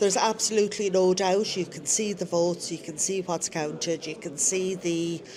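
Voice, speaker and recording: A woman with a Dublin accent and medium pitch speaks at a fairly slow pace. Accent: Dublin Irish. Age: 60s. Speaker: election tally volunteer. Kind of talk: live radio interview.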